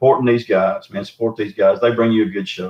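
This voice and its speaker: Someone speaks at a moderate pace in a Southern US accent. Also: man. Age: 60s. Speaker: Bigfoot researcher. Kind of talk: casual chat. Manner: animated.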